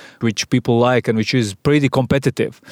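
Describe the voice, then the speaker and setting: Recorded very cleanly with a silent background and a dry, close sound with no echo, a man with a Latvian accent speaks at medium pitch with fairly even intonation. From Latvia, Sigulda. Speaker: advertising agency managing partner. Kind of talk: interview. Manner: halting.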